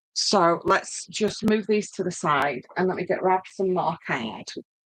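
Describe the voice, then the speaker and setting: A woman with a northern English accent speaks at a very slow pace. Her medium-pitched voice has lively intonation. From northern England. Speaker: craft tutor. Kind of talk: tutorial; casual chat. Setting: live stream. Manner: hesitant, many fillers. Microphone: laptop.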